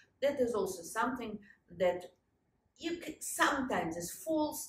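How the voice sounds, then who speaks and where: This woman talks with a Russian accent in a somewhat breathy voice, and the room echo can be heard. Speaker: historian and lecturer; lecturer. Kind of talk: conference talk. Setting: stage with audience. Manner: halting. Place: home room. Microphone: lapel.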